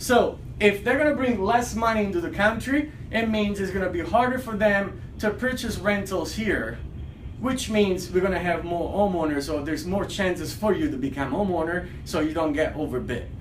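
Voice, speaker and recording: Animated in tone, a man speaks at a high pitch and moderate pace with lively intonation, amid audible room echo and noticeable background noise. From Italy. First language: Italian. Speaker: realtor. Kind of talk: casual video commentary.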